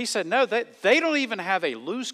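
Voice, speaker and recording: Using a raised, projected voice with a bright, sharp tone, a man with a Southern US accent speaks at a moderate pace. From US South. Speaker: pastor. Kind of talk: sermon. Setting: church.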